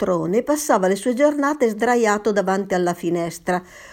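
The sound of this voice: Lively intonation in an unforced reading voice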